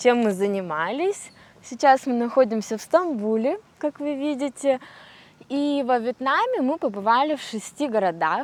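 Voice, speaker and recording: In a relaxed tone, a woman speaks at a fairly slow pace with a high pitch. Her pitch swings very widely. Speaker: traveler. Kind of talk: travel vlog narration. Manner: slow, clear, relaxed.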